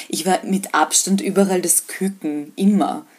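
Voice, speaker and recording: A woman speaks in a plain, everyday voice at medium pitch. Her intonation stays fairly even. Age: 20s. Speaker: freelance journalist. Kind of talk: interview. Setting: video call.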